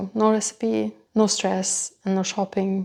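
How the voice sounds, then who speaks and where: Recorded very cleanly against a silent background, a woman with a non-native accent speaks at a moderate pace and medium pitch in a dark, mellow tone. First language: not English. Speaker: cooking channel host, nutrition coach. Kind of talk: cooking talk to camera. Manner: hesitant, non-native phrasing.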